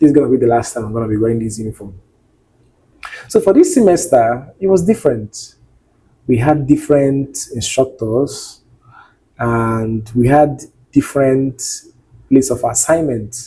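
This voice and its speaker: Somewhat breathy and dark, mellow in tone, a man with a medium pitch talks at a moderate pace with ordinary pitch variation and long, frequent pauses. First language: not English. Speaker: nursing student vlogger. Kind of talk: personal vlog monologue. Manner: expressive.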